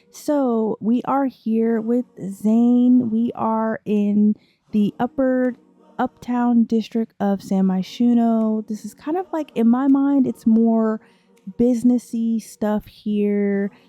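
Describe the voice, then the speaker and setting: At a very slow pace, a woman speaks in a fairly high voice with fairly even intonation. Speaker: gaming YouTuber. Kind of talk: let's play narration. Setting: home at night. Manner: casual, filler-heavy.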